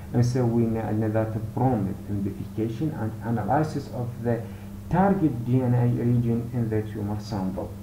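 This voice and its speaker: A man with an Iraqi accent is heard with audible room echo and noticeable background noise. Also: medium pitch for a man, ordinary pitch variation, moderate pace. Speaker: university lecturer in pathology. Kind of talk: lecture.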